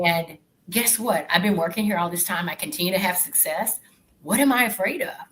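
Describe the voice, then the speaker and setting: A woman with a Southern US accent speaks at a fairly quick pace and a medium pitch, with ordinary pitch variation. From Arkansas, US South. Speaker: corporate professional. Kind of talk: interview.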